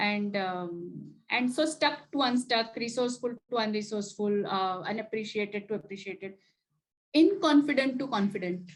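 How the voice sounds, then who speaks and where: The voice is somewhat breathy, with lively intonation. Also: woman. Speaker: executive coach and chapter president. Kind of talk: lecture. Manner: hesitant, with frequent filler words.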